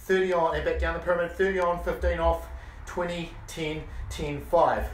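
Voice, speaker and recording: A man with high pitch at a moderate pace, with audible room echo. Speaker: fitness instructor. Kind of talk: workout instruction. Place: garage.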